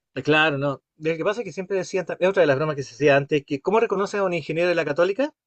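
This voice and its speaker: Speaking with a Chilean accent, a man talks at a very fast pace with hardly any pauses, a high pitch and ordinary pitch variation. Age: 60s. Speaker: course instructor. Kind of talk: interactive class discussion.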